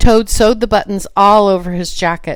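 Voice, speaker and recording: A woman with an ordinary speaking voice, medium pitch, ordinary pitch variation and a moderate pace. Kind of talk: children's storybook reading. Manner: calm, even storytelling.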